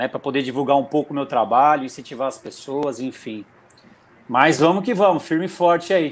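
At a fairly quick pace, a man talks in an ordinary speaking voice, fairly high in pitch with ordinary pitch variation. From Brazil, São Paulo state. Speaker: amateur triathlete. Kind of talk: casual chat.

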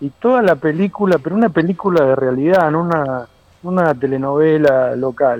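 A man's fairly high voice moves along at a fairly slow pace. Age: 50s. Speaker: surfer and surf school founder. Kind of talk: casual interview.

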